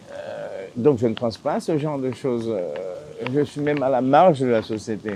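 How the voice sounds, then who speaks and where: Over noticeable background noise, a man with a fairly high voice talks at a moderate pace with lively intonation. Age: 60s. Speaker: islander living off the land. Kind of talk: interview.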